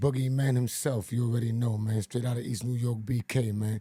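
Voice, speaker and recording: A man's dark, mellow voice, somewhat breathy. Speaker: podcast host. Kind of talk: podcast intro. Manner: upbeat.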